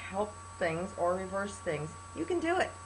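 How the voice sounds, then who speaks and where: Audible room echo fills the space. In it, a woman talks at a moderate pace. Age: 60s. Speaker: health testimonial vlogger. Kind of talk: testimony. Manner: animated.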